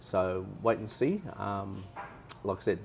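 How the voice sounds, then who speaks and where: Music plays behind a man with an Australian accent. His voice sits fairly low. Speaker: tourist interviewee. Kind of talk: casual interview chat.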